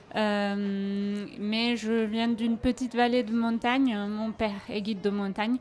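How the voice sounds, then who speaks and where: On a very clean recording with a silent background, a woman with a medium pitch speaks at a very slow pace with fairly even intonation. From Aosta Valley, Italy. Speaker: travel agency manager. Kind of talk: radio interview. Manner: hesitant, many fillers.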